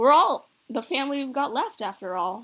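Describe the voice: In a put-on character voice, a woman speaks at a high pitch with a fairly bright tone, big pitch swings and a moderate pace.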